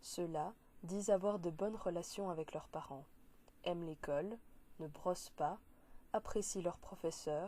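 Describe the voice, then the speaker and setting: A woman's dark, mellow voice with a Belgian accent, at a fairly slow pace. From Belgium. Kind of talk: read speech for interpreting practice.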